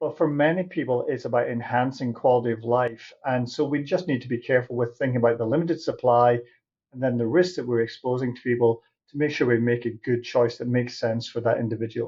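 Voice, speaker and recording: Somewhat breathy, a man speaks at a very fast pace in a British accent. His pitch is medium, with fairly even intonation. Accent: British, noticeable. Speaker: diabetes doctor and researcher. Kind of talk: interview.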